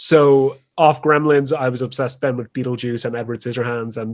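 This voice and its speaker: A man speaks with an Irish accent. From Ireland. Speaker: drag artist. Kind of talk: casual chat.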